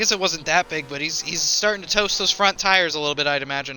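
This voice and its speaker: A man with a high pitch talks at a very fast pace. Noticeable background noise is present. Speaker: esports race commentator. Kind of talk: live commentary. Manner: animated.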